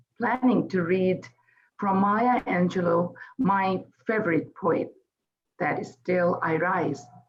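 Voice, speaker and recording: A woman speaks very slowly in a Bengali accent, her voice somewhat breathy. Her intonation is lively. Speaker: poet. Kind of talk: event speech. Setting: celebration event.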